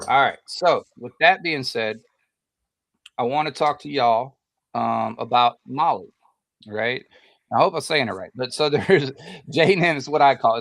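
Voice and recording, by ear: Speaking at a moderate pace with long, frequent pauses, a man with a fairly high pitch shows vocal fry, ordinary pitch variation and big swings in loudness.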